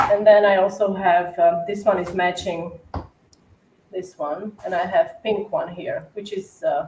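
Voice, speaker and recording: A woman talks at a fairly slow pace in an Eastern European accent. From Slovakia. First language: Slovak. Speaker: cookie decorator. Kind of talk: casual livestream chat and tutorial. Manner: hesitant with many fillers.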